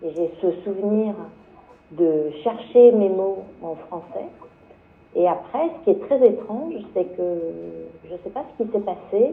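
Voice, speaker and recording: A woman talks at a very slow pace with long, frequent pauses and a medium pitch. Her pitch swings very widely, and so does her loudness. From France, Le Mans. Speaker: journalist. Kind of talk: panel discussion. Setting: book fair round table. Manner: halting, many fillers and repetitions.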